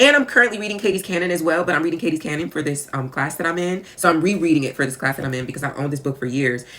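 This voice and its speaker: With noticeable background noise, a woman in an American accent talks at a very fast pace with hardly any pauses and a very deep, low pitch. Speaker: author and podcaster. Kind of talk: casual monologue. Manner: conversational, with fillers.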